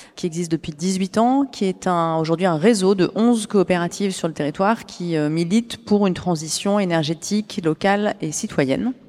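Over a very clean recording with a silent background, an ordinary speaking voice moves at a moderate pace with ordinary pitch variation. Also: woman. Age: 40s. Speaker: cooperative executive. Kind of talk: interview. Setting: live forum event.

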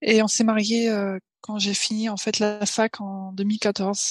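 Dry and close with no echo, a woman's somewhat breathy voice holds flat, monotone intonation. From Paris, France. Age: 20s. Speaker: software engineer and new mother. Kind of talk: casual interview chat. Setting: remote recording.

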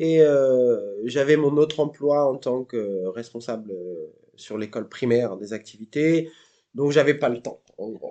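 This man has a dark, mellow tone and a medium pitch. He speaks at a very slow pace. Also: ordinary pitch variation, big swings in loudness. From France, Normandy (Seine-Maritime). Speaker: circus teacher. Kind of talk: interview. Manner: hesitant, many fillers.

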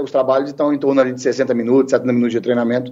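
Using a dark, mellow tone, a man rattles off words at a very fast pace. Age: 40s. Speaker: football coach. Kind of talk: interview.

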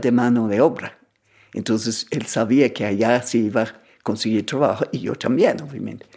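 Speaking in an English accent, a woman has a very deep, low pitch. Her tone is dark and mellow, and her pace is fairly slow. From England. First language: English (speaking Spanish). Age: 80s+. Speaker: traveler and writer. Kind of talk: personal storytelling interview.

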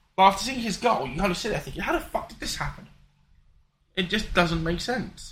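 Speaking with a British accent, a man talks at a fairly quick pace in a high pitch. His intonation is lively, with big swings in loudness. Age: 20s. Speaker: podcast co-host. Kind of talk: casual chat. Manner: halting.

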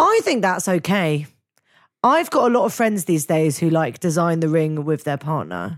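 In a very clean recording with a silent background, a woman with a plain, everyday voice speaks at a moderate pace and fairly low pitch, her intonation lively. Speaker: podcast co-host and cook. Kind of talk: casual chat. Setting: studio.

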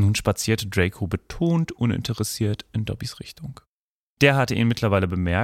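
Quiet surroundings behind a natural reading voice.

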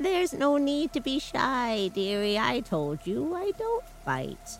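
Clear background noise runs under a put-on character voice. It is high-pitched and fairly slow. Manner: gently coaxing.

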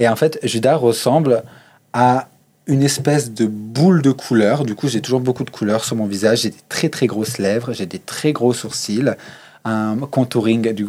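Music in the background behind a man's medium-pitched voice, fairly slow, with ordinary pitch variation. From Savoie, eastern France (Chambéry). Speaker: drag queen. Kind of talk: interview. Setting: backstage of a bar venue.

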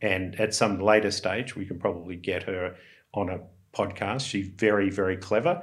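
Flat and monotone, a man speaks at a moderate pace in a fairly low pitch. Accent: Australian. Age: 60s. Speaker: investor. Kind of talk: casual chat.

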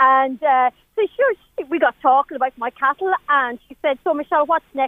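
Her pitch is high, and her pace fairly quick. She is a woman with an Irish Midlands accent. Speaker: cattle breeder. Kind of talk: casual chat. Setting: outdoors. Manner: animated.

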